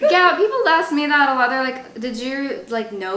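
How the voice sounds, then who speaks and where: Over noticeable background noise and audible room echo, a woman uses a raised, projected voice at a high pitch. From Alabama. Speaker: podcast host. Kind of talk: casual chat. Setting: studio couch.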